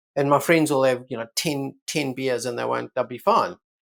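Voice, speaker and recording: In a very clean recording with a silent background, a man speaks at a very fast pace. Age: 70s. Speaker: brain scientist and physician. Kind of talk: interview.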